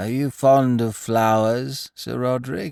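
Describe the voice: In a put-on character voice, a man speaks croakily at a medium pitch, fairly slowly and with fairly even intonation. The recording is very clean, with a silent background.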